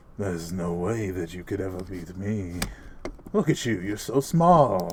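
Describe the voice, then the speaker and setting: A gruff, put-on character voice moves at a moderate pace over clear background noise. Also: man, very deep, low pitch for a man. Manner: taunting, condescending.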